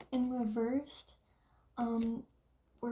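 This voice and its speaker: Quiet and fairly slow, a woman speaks with a fairly high pitch and a dark, mellow tone. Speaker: tarot card reader. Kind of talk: tarot reading.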